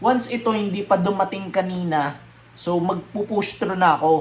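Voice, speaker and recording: The man's voice is high in pitch, and he keeps a moderate pace. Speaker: YouTuber. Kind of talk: casual vlog unboxing. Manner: casual, filler-heavy.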